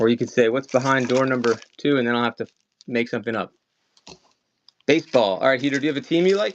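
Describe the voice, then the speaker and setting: Someone with a slight Maryland accent talks at a very fast pace. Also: man. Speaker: online collectibles seller. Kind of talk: live-stream sales auction. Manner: casual, chatty.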